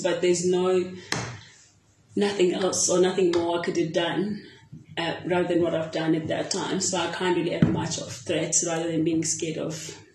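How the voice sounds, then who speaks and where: A woman talks at a moderate pace, her pitch fairly low with ordinary variation. Noticeable background noise runs underneath. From South Africa. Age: 30s. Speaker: netball player and coach. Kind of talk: interview. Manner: halting.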